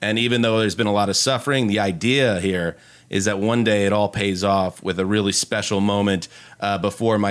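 A man with an American accent and a normal speaking voice talks at a fairly quick pace and a fairly low pitch. His intonation is fairly even, and the recording is very clean with a silent background. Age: 40s. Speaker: NFL media writer and podcaster. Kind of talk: casual chat.

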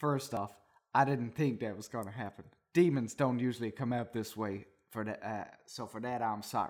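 A gruff, put-on character voice sits at a low-to-middle pitch and moves at a moderate pace with long, frequent pauses. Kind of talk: comic reading aloud. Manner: gruff, bossy.

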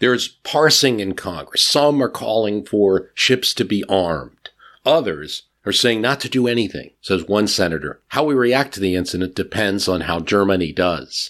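A man speaks at a moderate pace in a normal speaking voice, fairly low in pitch with lively intonation, on a very clean recording with a silent background. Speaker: history podcast narrator. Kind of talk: history documentary narration. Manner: measured, storytelling tone.

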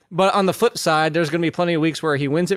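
A man with ordinary pitch variation, in a dry, close sound with no echo. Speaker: fantasy football podcast host. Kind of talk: casual sports banter.

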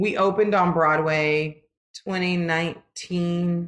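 A woman is talking at a fairly low pitch. Her intonation stays fairly even. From Los Angeles, California. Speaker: musical theater performer. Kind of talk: interview.

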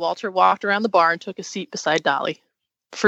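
Reading aloud in a natural voice, ordinary pitch variation, quiet background

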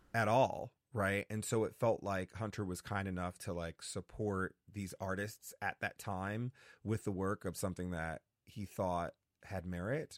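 A man with an American accent speaks at a moderate pace and fairly low pitch, with ordinary pitch variation and a plain, everyday voice, in a very clean recording with a silent background. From US Northeast, New Haven, Connecticut. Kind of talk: casual interview.

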